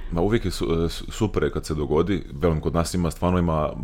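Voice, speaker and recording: A man talks fairly quickly over background noise that stands out. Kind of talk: stand-up comedy, anecdotal storytelling about a rowdy gig. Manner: animated, rambling and self-interrupting, casual; conversational, dry self-deprecating humour, heavy colloquial speech.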